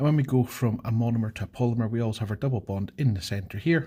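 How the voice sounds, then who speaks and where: Somewhat breathy, a man speaks at a fairly quick pace in a medium pitch with ordinary pitch variation and a dark, mellow tone. The recording is very clean, with a silent background. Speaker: chemistry teacher. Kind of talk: exam walkthrough tutorial. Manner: fast.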